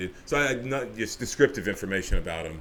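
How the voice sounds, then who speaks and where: A man is speaking. He has an American accent. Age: 40s. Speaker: interview guest. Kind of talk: casual interview. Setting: radio studio. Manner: halting, many repetitions.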